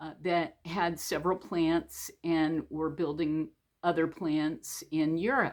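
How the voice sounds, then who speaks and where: A woman has a plain, everyday voice at a fairly low pitch. She speaks at a fairly slow pace. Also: very clean recording, silent background. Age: 60s. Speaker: storyteller. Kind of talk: personal story told to camera. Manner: casual, conversational.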